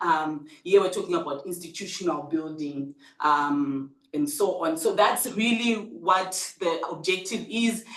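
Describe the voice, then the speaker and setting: Lively intonation marks this fairly slow delivery over noticeable background noise. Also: woman, fairly low pitch for a woman. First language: not English. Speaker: researcher presenting at a seminar. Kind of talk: conference presentation. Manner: hesitant, many fillers.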